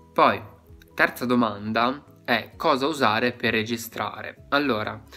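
A man talks with fairly even intonation while faint music sits in the background. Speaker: ASMR content creator giving advice. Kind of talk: casual vlog chat. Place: home room. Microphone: phone near.

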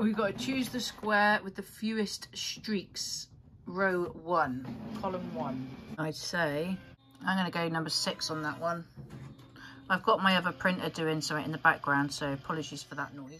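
A woman with a fairly low pitch speaks at a moderate pace over faint music in the background. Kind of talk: tutorial. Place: home room. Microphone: phone near.

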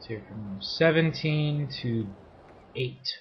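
Over light background noise, a man mumbles at a very slow pace with lively intonation. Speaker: let's play gamer. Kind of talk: casual gameplay commentary. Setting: home microphone placed too far away. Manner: mumbling, low volume.

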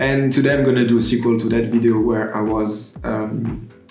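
With a French accent, a man talks at a moderate pace in a medium pitch with ordinary pitch variation, amid audible room echo and faint music in the background. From France. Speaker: content creator. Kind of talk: casual talk to camera. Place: home room.

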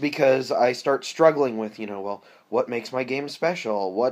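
This man's voice shows ordinary pitch variation. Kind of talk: casual vlog chat. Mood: reflective, candid. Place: home room. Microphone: webcam.

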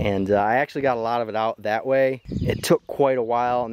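Noticeable background noise accompanies a man talking at a fairly quick pace, the sound dry with no echo. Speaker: property owner reviewing a tractor rake. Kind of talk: casual vlog chat. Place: open country.

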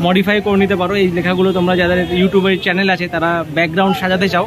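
A man with a high pitch speaks in a dry sound with no echo, backed by noticeable background noise. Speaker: vlogger. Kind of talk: casual vlog chat. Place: market. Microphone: phone near.

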